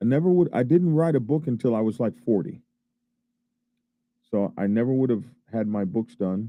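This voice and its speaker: Here a man speaks with an American accent and lively intonation. He keeps a moderate pace but takes long, frequent pauses. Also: medium pitch for a man. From Oklahoma, Oklahoma City. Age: 60s. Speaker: biker vlogger, author and filmmaker. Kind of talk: casual monologue vlog. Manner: halting, repetitive; animated.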